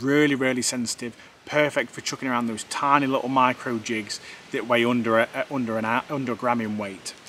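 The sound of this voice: A man talks at a medium pitch with a fairly bright tone.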